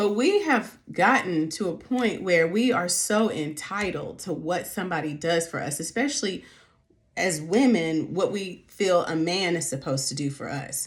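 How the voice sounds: Speaking at a fairly slow pace, a woman uses lively intonation at a fairly low pitch.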